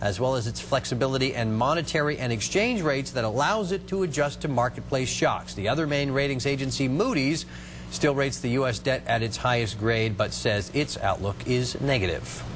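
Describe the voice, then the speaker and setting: This man speaks at a fairly quick pace with hardly any pauses, using a medium pitch and ordinary pitch variation. Noticeable background noise runs underneath. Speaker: TV news anchor and field reporter. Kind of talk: TV news anchor read.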